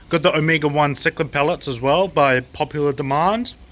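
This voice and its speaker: This is a man speaking with a New Zealand accent. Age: 20s. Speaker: aquarium shop owner and fishkeeping YouTuber. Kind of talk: casual video tour. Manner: fast; animated.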